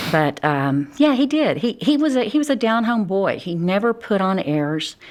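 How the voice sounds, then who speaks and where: A woman with a strong Texas accent speaks at a moderate pace and a fairly high pitch. Her pitch swings very widely. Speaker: criminal defense attorney. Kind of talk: interview.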